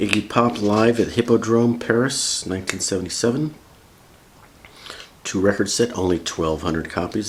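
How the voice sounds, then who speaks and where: Noticeable background noise runs under the recording. A man speaks over it at a moderate pace. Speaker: vinyl record YouTuber. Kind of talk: casual review rundown. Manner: casual, chatty.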